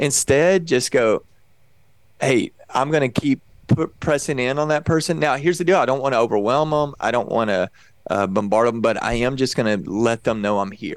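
A man with a Texan accent talks at a moderate pace, his medium-pitched voice full of lively intonation. The recording is very clean, with a silent background. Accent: Texan American English. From Texas. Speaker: pastor and evangelist. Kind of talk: casual interview.

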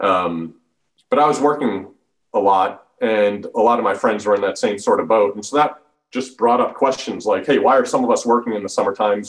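A man with a General American accent speaks at a fairly quick pace. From Colorado, Denver. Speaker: economics professor. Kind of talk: interview. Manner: halting.

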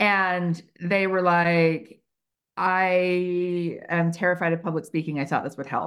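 On a very clean recording with a silent background, a woman speaks at a very slow pace with monotone, flat intonation. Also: fairly low pitch for a woman. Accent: American. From United States. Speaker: HR consultant and trainer. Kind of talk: interview conversation.

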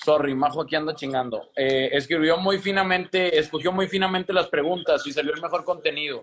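A man's high-pitched voice moves at a fairly quick pace with fairly even intonation. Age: 20s. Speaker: entrepreneur, live stream host. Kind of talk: casual chat. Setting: Instagram live video.

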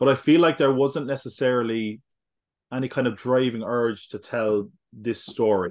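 A man with an Irish accent talks at a moderate pace in a quiet background. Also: medium pitch for a man, ordinary pitch variation. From Ireland. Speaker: podcaster. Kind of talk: casual chat. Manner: animated.

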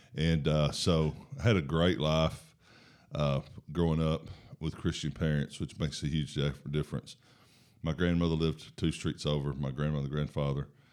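In a Southern US accent, a man with a very deep, low voice speaks at a moderate pace in a monotone, flat delivery, captured in a very clean recording with a silent background. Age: 50s. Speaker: football coach and mission worker. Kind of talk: casual interview about faith.

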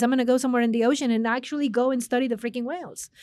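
A woman's high-pitched voice in a Spanish accent. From Mexico, Monterrey. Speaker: business consulting executive. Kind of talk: interview.

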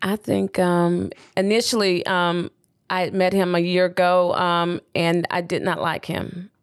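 A woman's fairly low, monotone voice with a Southern US accent, at a fairly slow pace, on a very clean recording with a silent background. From US South, Birmingham, Alabama. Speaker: widow and mother of seven. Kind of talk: interview, personal testimony.

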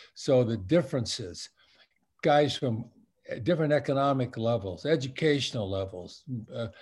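On a very clean recording with a silent background, a somewhat breathy voice speaks at a moderate pace. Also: man. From Southern California, Long Beach. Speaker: retired-age sportswear company veteran, alumni speaker. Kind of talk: interview. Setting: virtual event.

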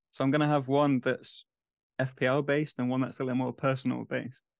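A man with an English accent and medium pitch talks at a very fast pace in a monotone, flat intonation. The sound is dry and close with no echo, over a quiet background. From England. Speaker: fantasy football podcaster. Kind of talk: casual chat.

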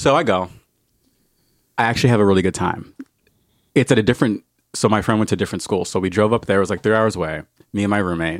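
In a very clean, dry, close recording with no echo and a silent background, a man with an American accent speaks very fast in a fairly low voice with ordinary pitch variation and long, frequent pauses. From New Jersey, then Indiana from age twelve. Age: 30s. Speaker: podcast guest sharing life story. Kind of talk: personal testimony.

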